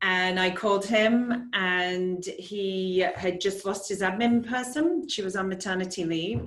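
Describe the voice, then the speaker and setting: A woman's voice with an English accent and audible room echo. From England. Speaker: real estate agent. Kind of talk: casual interview.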